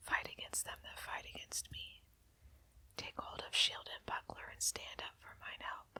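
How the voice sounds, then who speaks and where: The words come out as a whisper, at a fairly slow pace. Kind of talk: whispered Bible reading for sleep. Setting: fireside with crackling fire and candlelight. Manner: whispered, soft, quiet.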